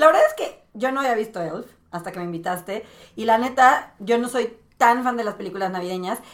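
Fairly high in pitch, a woman talks at a fairly quick pace in an ordinary speaking voice with ordinary pitch variation. Her loudness swings widely. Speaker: podcast guest. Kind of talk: casual chat.

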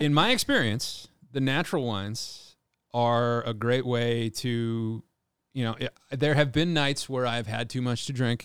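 Here a man speaks at a medium pitch with a slight Californian accent. His pace is fairly slow and his intonation fairly even. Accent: slight California. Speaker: chef and restaurant owner. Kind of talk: casual chat. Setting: video call.

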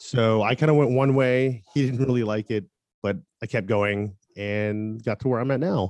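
A man with an American accent and an ordinary speaking voice talks at a moderate pace, with a medium pitch and ordinary pitch variation, in a dry, close sound with no echo. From US South, Tampa, Florida. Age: 30s. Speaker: photographer and musician. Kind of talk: interview.

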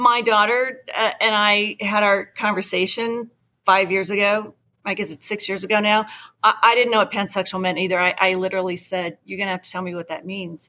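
This woman has a medium pitch, a bright, sharp tone and fairly even intonation. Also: fairly quick pace. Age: 50s. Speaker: parent ally advocate. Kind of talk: casual chat.

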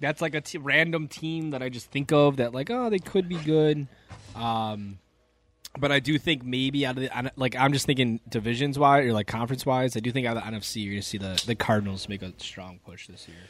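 A man with a normal speaking voice talks at a fairly quick pace and medium pitch, with ordinary pitch variation and big swings in loudness. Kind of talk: casual chat. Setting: livestream.

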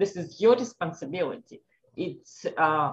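At a fairly slow pace, a woman speaks in an Eastern European accent. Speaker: doctor and holistic health practitioner. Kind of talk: casual interview. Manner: halting, repeats 'yes'.

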